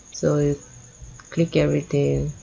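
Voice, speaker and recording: The speaker has a Nigerian accent. Noticeable noise sits in the background. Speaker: data analytics tutor. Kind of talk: screen-share tutorial. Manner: casual with frequent fillers.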